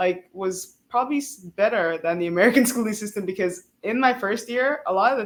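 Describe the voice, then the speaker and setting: With an East African accent, a woman speaks using lively intonation. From South Africa, Cape Town. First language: Swahili. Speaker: PhD student. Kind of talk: interview.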